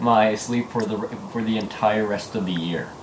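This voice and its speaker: There is noticeable background noise. A man speaks at a moderate pace with fairly even intonation. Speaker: gaming video host. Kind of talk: casual chat.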